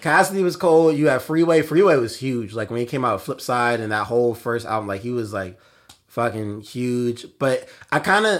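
This is a normal speaking voice, a man at medium pitch and moderate pace. The recording is very clean, with a silent background. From South Jersey near Philadelphia, US East Coast. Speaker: rapper. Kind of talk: casual chat. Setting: studio.

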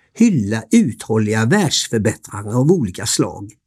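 A man talks at a moderate pace with very wide pitch swings. The recording is very clean, with a silent background. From Sweden, Varberg (Halland). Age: 60s. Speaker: hotel owner telling his life story. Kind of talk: scripted narration. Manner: formal.

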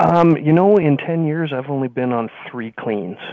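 Here a man with a Canadian accent has a plain, everyday voice, moving at a moderate pace with ordinary pitch variation. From British Columbia, Canada (Kelowna). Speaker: franchise business owner. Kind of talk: interview.

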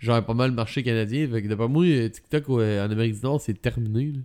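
A man speaks at a medium pitch and a moderate pace, with ordinary pitch variation and a Quebec accent. The recording is very clean, with a silent background. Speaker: tech podcast co-host. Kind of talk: casual chat. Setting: studio with masks.

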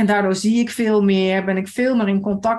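Medium-pitched, somewhat breathy woman's voice with fairly even intonation over a quiet background. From Limburg, Netherlands (Maasbree). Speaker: horse rider. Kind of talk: casual chat.

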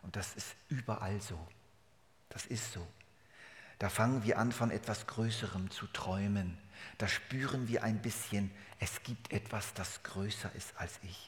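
A man's somewhat breathy voice at a fairly slow pace, fairly even in intonation, with long, frequent pauses. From Germany. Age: 70s. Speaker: pastor. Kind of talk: sermon.

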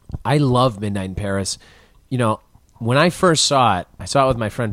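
Speaking fairly quickly with an American accent, a man uses a plain, everyday voice and ordinary pitch variation. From Chicago area. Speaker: filmmaker and actor. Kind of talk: casual interview chat. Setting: apartment.

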